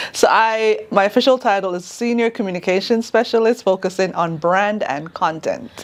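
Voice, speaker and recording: A woman with a Jamaican accent speaks at a medium pitch and moderate pace, with ordinary pitch variation and hardly any pauses. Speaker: communications specialist at a sheriff's office. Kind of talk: interview.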